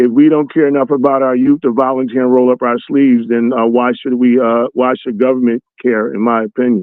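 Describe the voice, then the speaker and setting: The speaker has an American accent. The intonation is monotone and flat. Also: man, medium pitch for a man, fairly quick pace. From US Northeast (North Philadelphia). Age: 60s. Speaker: motivational speaker. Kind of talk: interview.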